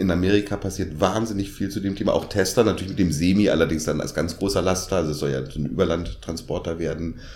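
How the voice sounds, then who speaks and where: Talking at a very fast pace with hardly any pauses, a man with a very deep, low pitch sounds somewhat breathy, his intonation fairly even and the room echo audible. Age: 50s. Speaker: podcast co-host. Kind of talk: casual chat.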